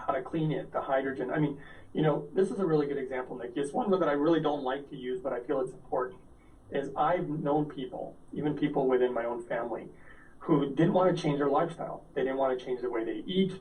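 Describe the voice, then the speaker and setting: Amid audible room echo and noticeable background noise, a man talks very fast at a fairly high pitch with ordinary pitch variation. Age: 40s. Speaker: health product entrepreneur. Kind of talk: interview.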